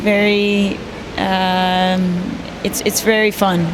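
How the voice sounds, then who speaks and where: Noticeable background noise and audible room echo surround a woman speaking with a Midwestern American accent. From US Midwest, Detroit, Michigan. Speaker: sailor. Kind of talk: interview.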